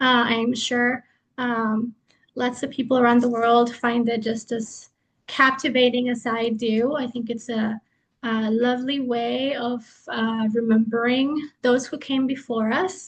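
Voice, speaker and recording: A woman's high-pitched voice with a Spanish accent, fairly slow and in a monotone, flat intonation. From Mexico. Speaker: lecturer. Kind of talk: lecture.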